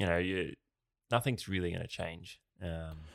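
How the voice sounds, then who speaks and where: With an Australian accent and a bright, sharp tone, a man speaks at a moderate pace in a very clean recording with a silent background. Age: 30s. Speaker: athlete and podcast co-host. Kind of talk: casual chat.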